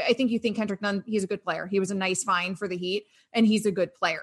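A woman talks at a very fast pace in a medium pitch. Her voice is somewhat breathy. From Florida, Sarasota. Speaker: sports radio host and card market analyst. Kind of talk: casual interview.

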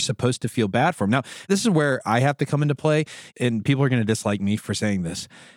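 With an American accent, a man speaks in an unremarkable speaking voice at medium pitch and with lively intonation, recorded dry and close with no echo on a very clean recording with a silent background. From United States. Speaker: podcast co-host. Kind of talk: casual chat.

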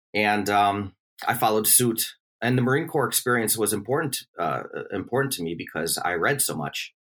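A man with an American accent and an unremarkable speaking voice, fairly low-pitched and fairly quick, on a very clean recording with a silent background. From US Midwest, Milwaukee, Wisconsin. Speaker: history professor. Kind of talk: interview.

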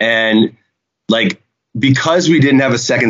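With an American accent, the speaker has an ordinary speaking voice, moderate pace and ordinary pitch variation. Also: man. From Chicago, US Midwest. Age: 40s. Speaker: reality TV cast member. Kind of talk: casual chat.

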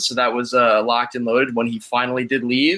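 A man talks at a fairly quick pace. He has a medium pitch and a normal speaking voice. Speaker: hockey fan writer. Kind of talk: casual chat.

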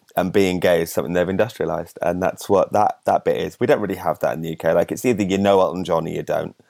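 On a very clean recording with a silent background and a dry, close sound with no echo, a man talks at a very fast pace in a West Midlands accent. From West Midlands, England (near Birmingham). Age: 30s. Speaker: comedian. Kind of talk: casual chat. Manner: animated.

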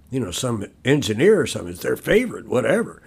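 Somewhat breathy, a man talks at a very fast pace. His pitch swings very widely. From Louisville, Kentucky. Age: 70s. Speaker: recovering alcoholic sharing his story. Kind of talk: casual interview, personal story. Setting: backyard wood shop, recorded in person.

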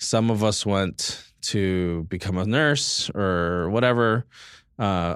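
A man speaks with a Californian accent. His pitch rises and falls in an ordinary way. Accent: Californian American. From US West Coast, East Los Angeles. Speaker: chef. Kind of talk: casual chat.

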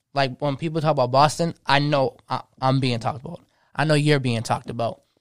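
With a dry, close sound and no echo, a man uses an ordinary speaking voice at medium pitch, keeping fairly even intonation at a moderate pace. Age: 20s. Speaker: DJ. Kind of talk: casual chat.

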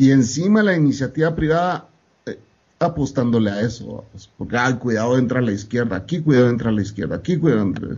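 A man talks at a very fast pace in a medium pitch. His voice is somewhat breathy, with lively intonation. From Guatemala. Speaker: podcast guest. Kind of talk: casual chat.

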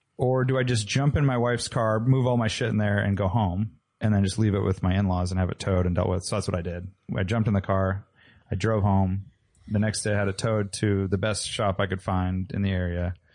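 At a fairly quick pace, a man with a fairly low pitch uses an ordinary speaking voice and fairly even intonation. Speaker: car podcast co-host. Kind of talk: casual chat.

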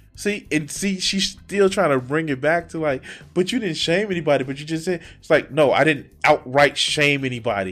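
In an unremarkable speaking voice, a man talks at a moderate pace and fairly high pitch with hardly any pauses. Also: lively intonation. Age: 40s. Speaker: YouTube commentator. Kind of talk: reaction commentary.

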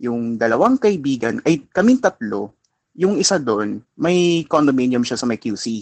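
A man with a Filipino accent, medium pitch, moderate pace and lively intonation, in a dry, close sound with no echo. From Philippines. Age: 20s. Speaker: caller. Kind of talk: personal advice call.

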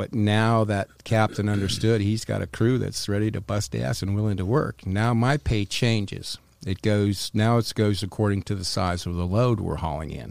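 A man with a normal speaking voice and an American accent talks at a moderate pace with hardly any pauses, fairly low pitch and ordinary pitch variation. The recording is very clean, with a silent background. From North Carolina. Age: 60s. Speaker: former smuggler. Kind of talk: interview storytelling. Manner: casual, profane.

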